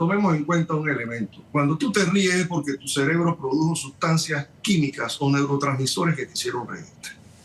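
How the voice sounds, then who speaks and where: There is noticeable background noise as a man speaks at a fairly quick pace. His pitch is fairly high, with ordinary variation. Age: 60s. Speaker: surgeon. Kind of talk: TV news interview. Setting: remote connection.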